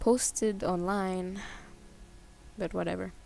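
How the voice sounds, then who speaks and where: Music plays in the background. Over it, a woman speaks. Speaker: artist and animator. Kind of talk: casual talk over art slideshow. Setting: home recording, mediocre mic, background sounds. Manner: stuttering, hesitant; awkward, unpracticed.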